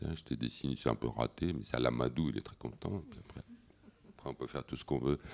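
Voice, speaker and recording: A man talks with vocal fry. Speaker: comics artist. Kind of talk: festival panel talk.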